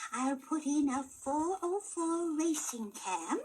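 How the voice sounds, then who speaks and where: Using a cartoonish character voice, a woman speaks at a very slow pace. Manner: sweet, chirpy, giggly.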